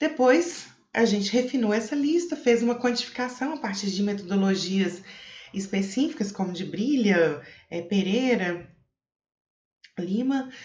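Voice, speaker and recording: Pausing long and often, a woman speaks at a fairly slow pace and a fairly high pitch, her voice somewhat breathy. Her intonation is lively, and the room echo is audible. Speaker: cave researcher, geographer. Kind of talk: conference talk. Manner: hesitant, many fillers.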